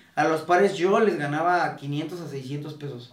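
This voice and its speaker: Audible echo from the room surrounds the voice. It belongs to a man. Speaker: sneaker reseller. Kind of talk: casual interview. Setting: at his home. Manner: relaxed.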